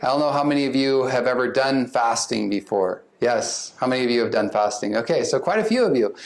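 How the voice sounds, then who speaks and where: In a plain, everyday voice, a man speaks with lively intonation. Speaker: psychiatrist. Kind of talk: lecture.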